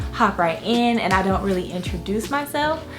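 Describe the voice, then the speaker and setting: Over music in the background, a woman speaks at medium pitch. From Florida. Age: 20s. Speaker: lifestyle vlogger, mother. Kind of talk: casual talk to camera. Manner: chatty, casual.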